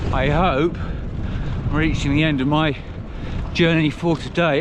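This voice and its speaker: A man with an English accent amid noticeable background noise. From England. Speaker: touring cyclist vlogger. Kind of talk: travel vlog narration.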